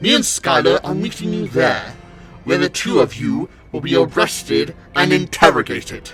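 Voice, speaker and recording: Over clear music in the background, a man puts on a raspy character voice at a moderate pace. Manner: angry, accusatory.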